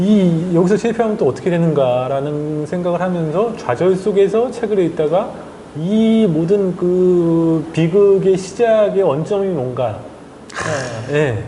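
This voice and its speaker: Over noticeable background noise and audible room echo, a man with a high pitch speaks at a very slow pace, with very even loudness and ordinary pitch variation. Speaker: journalist and author. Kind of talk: interview.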